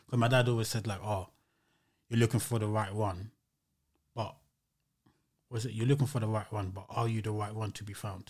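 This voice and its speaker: A man speaks in a fairly low, somewhat breathy voice with flat, monotone intonation. His pace is fairly quick, broken by long, frequent pauses. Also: very clean recording, silent background. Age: 30s. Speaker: musician. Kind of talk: casual chat.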